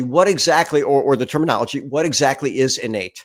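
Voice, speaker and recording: A man's normal speaking voice, fairly high in pitch and fairly quick in pace, in a very clean recording with a silent background. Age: 60s. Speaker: podcast host. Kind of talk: interview conversation.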